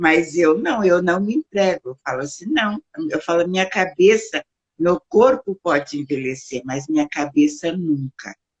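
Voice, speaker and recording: A fairly low-pitched woman at a fairly slow pace, with very wide pitch swings. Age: 60s. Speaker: founder of an elderly care service. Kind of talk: interview.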